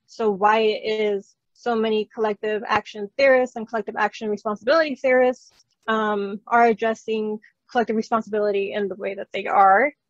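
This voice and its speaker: Pitched fairly high, a woman talks at a fairly quick pace with fairly even intonation. The sound is dry and close, with no echo. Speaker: philosophy researcher. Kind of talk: academic conference talk. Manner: fast.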